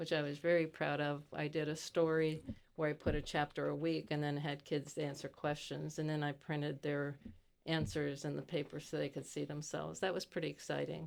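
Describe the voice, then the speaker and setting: In an American accent, a woman speaks fairly quickly at a very deep, low pitch, with vocal fry and a monotone, flat intonation. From US, Pittsburgh (Italian-born, emigrated as a young child). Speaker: retired educator and library activist. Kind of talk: podcast interview.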